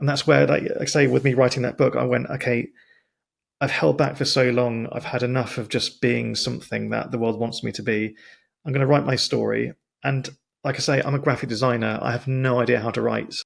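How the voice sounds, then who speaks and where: Speaking fairly quickly, a man talks with a British accent. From Britain. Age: 40s. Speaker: podcast host. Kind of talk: casual interview chat. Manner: halting, with stumbles and restarts.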